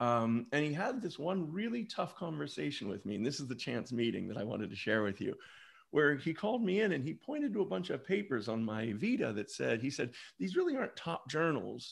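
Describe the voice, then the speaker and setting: Over a quiet background, a man talks at a fairly quick pace with a fairly high pitch, vocal fry, and very wide swings in pitch. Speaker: business school professor. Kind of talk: panel discussion.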